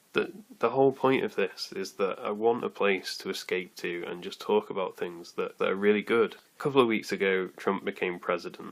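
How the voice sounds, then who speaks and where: With hardly any pauses, a man talks at a moderate pace. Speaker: podcast host. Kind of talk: solo podcast monologue. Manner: hesitant, with fillers. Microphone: recorded on an iPad, sounds poor.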